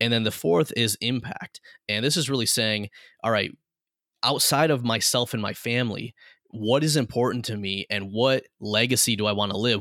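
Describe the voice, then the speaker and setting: A man with a normal speaking voice at medium pitch talks at a moderate pace with ordinary pitch variation, recorded very cleanly against a silent background with a dry, close sound and no echo. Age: 30s. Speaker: entrepreneur and business coach. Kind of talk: interview.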